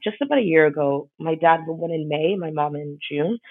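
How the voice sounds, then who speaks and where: A woman with a New York accent speaks in a very deep, low voice at a moderate pace. Her intonation stays fairly even. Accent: New York American English. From New York City (Brooklyn, Queens), Ghanaian parents. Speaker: podcast guest, blogger. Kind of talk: casual chat.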